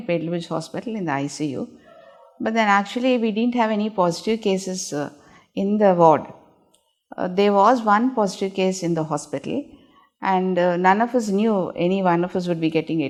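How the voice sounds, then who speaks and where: This is a plain, everyday voice with ordinary pitch variation at a fairly quick pace. The background is quiet. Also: woman, medium pitch for a woman. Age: 60s. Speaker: gynaecologist. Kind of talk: interview answer.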